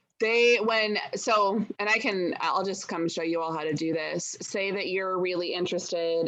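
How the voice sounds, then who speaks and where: A woman speaks with an American accent at a moderate pace. Hers is an ordinary speaking voice, with fairly even intonation. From southern Oregon, Jackson County. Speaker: farm policy lobbyist. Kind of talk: webinar tutorial. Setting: video call.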